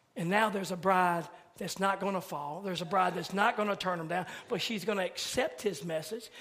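Noticeable background noise sits behind the speech. A high-pitched man talks at a moderate pace in an animated tone. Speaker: preacher. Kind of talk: sermon. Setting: church midweek service. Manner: animated, exhortative, building to call-and-response style exclamations.

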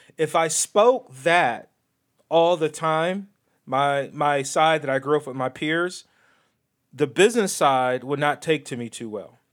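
On a very clean recording with a silent background, a man speaks in an animated tone at a fairly slow pace. His pitch is fairly high, with ordinary variation. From US Midwest. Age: 40s. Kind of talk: casual chat. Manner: animated, joking.

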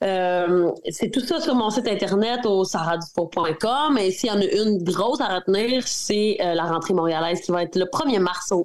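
A woman in a Quebec accent, medium-pitched with lively intonation, fairly slow, very even in loudness, with hardly any pauses. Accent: regional Quebec. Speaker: country singer. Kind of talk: interview.

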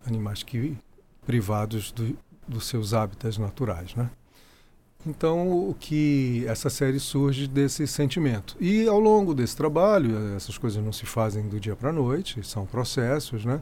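This man's medium-pitched voice has a dark, mellow tone and lively intonation at a fairly slow pace. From Rio de Janeiro, Brazil. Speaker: photographer and architect. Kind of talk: interview.

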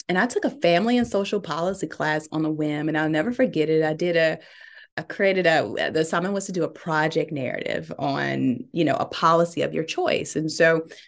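Her voice is very deep and low for a woman, with a Southern US accent. She speaks at a moderate pace. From US South, Birmingham, Alabama. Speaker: tech startup CEO. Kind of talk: interview.

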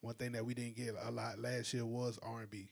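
A man with a South Carolina accent. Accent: Southern US (South Carolina). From South Carolina (Calhoun County). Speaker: music curator and talent developer. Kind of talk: casual podcast interview.

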